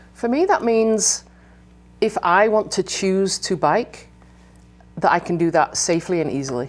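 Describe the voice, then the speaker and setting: In an English accent, a woman speaks at a medium pitch and moderate pace. She leaves long, frequent pauses. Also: lively intonation. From England. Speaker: bike education director. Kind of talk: interview.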